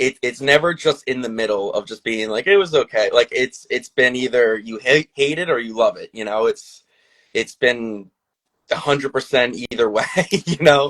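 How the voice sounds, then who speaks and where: A man speaks with a Long Island accent. His pitch is medium and his pace moderate. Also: ordinary pitch variation, big swings in loudness, dry, close sound with no echo. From Long Island, New York. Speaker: filmmaker. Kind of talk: casual interview. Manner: halting, many fillers.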